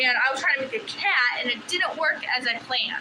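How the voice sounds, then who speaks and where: Noticeable background noise under a woman's high voice. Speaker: livestreamer crafting hobbyist. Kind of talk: casual live-stream chat. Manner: halting, with fillers.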